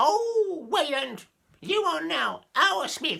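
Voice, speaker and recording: A man's put-on character voice at an extremely high pitch and a very slow pace. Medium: read story. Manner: suspicious.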